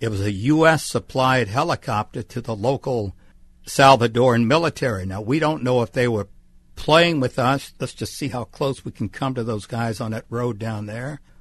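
Over a quiet background, a man with an unremarkable speaking voice talks at a moderate pace in a medium pitch with ordinary pitch variation. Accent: American. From US South, Mississippi Gulf Coast. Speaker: retired TV journalist. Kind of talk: interview. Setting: radio studio.

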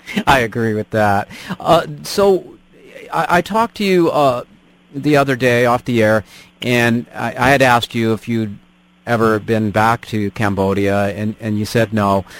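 A man with an ordinary speaking voice talks at a fairly slow pace. His pitch is medium, with ordinary pitch variation. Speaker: radio host. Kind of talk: radio interview. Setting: radio studio.

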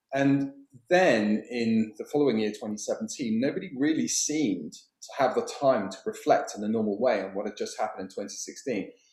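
A man with a British accent speaks at a moderate pace with hardly any pauses, his loudness swinging widely. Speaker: documentary filmmaker. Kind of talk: interview.

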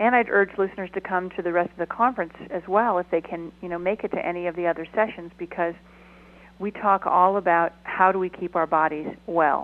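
A woman with a normal speaking voice, a fairly low pitch and fairly even intonation. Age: 50s. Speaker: documentary film producer and activist. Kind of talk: radio interview.

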